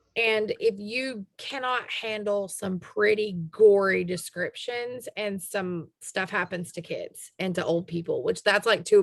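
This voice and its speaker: With a Southern US accent, a woman speaks at a medium pitch with ordinary pitch variation. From US South. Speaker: podcast host. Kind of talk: casual chat.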